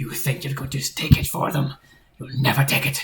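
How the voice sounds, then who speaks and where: This is a put-on character voice, raspy and at low-to-middle pitch. It moves at a moderate pace. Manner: dark, menacing.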